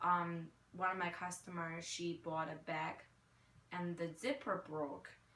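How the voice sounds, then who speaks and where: With ordinary pitch variation, the tone comes across as bright and sharp. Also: woman, fairly low pitch for a woman, fairly slow pace. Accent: Chinese. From China. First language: Mandarin Chinese. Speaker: retail worker and marketing graduate. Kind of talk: interview answers. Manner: hesitant, many fillers.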